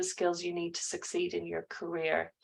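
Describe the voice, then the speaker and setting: A woman with an Irish accent speaks in front of a quiet background. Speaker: careers adviser. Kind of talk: online class.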